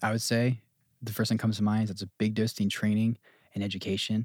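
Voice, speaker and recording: A man with an American accent speaks at a very fast pace and a medium pitch. The sound is dry and close with no echo, on a very clean recording with a silent background. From New Jersey. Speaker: apprenticeship house director. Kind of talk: casual chat.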